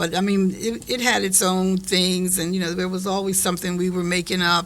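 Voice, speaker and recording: A woman with an American accent, monotone and flat, at a fairly quick pace over noticeable background noise. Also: medium pitch for a woman. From Delaware County, Pennsylvania, US. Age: 70s. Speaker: family elder interviewee. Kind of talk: family conversation interview.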